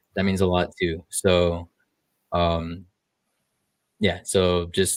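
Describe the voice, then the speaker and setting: On a very clean recording with a silent background, a man speaks in a very deep, low voice with monotone, flat intonation. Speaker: livestreamer. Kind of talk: casual livestream chat. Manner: halting, many fillers.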